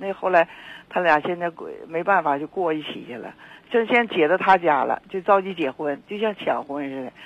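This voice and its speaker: Noticeable background noise sits behind a woman's voice. She speaks in a fairly low pitch with ordinary pitch variation. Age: 70s. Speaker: caller. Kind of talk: phone-in chat. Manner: halting, repetitive.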